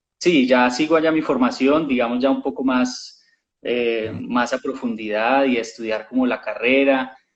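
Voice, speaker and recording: With a Colombian accent, a man speaks at a medium pitch and a fairly slow pace, his intonation fairly even. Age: young. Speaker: actor. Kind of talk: interview.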